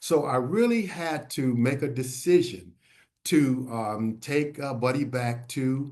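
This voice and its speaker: Audible room echo surrounds a man speaking at a very slow pace, at medium pitch with ordinary pitch variation. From US Northeast (Philadelphia). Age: 70s. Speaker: health educator on HIV and aging. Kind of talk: webinar presentation. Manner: halting, many filler words.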